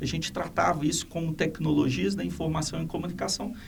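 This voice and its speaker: Over noticeable background noise, a man talks at a fairly high pitch. His intonation is lively. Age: 60s. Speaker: education institution president. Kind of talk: podcast interview. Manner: halting.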